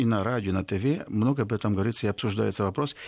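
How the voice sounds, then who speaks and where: Over a quiet background, a man with a Spanish accent speaks at a fairly low pitch with lively intonation. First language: Spanish (speaking Russian). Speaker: professor and institute director. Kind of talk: radio interview. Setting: studio. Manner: halting, with hesitations.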